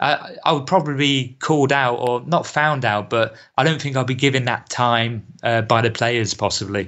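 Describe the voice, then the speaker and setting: With a British accent, a man talks with hardly any pauses, ordinary pitch variation and very even loudness. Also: medium pitch for a man, moderate pace. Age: 30s. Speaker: football coach. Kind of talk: casual chat.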